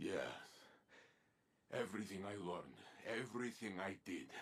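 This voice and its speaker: At a moderate pace, a man performs a put-on character voice pitched fairly low. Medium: video game. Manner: solemn, weighty.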